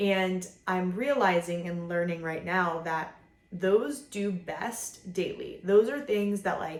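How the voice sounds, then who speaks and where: A woman's fairly low-pitched voice with audible room echo. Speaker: vlogger, mother. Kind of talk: casual monologue to camera. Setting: filming at home. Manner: casual, filler-heavy.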